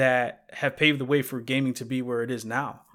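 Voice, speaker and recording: A man speaks in a normal speaking voice with an American accent at a moderate pace. His medium-pitched voice comes through on a very clean recording with a silent background. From New York. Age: 30s. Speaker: game accessibility advocate. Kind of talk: interview.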